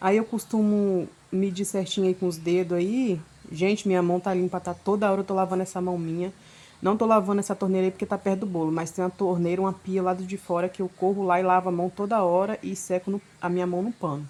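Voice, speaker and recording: A woman speaks at a very fast pace with monotone, flat intonation. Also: medium pitch for a woman. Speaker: home cake decorator, video creator. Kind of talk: voice-over narration of a cake decorating tutorial. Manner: casual, chatty.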